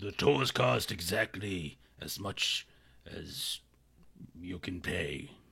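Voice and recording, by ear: A man speaks in a put-on character voice, gruff and raspy with a very deep, low pitch. His intonation is lively and his loudness swings widely, delivered at a very slow pace with long, frequent pauses.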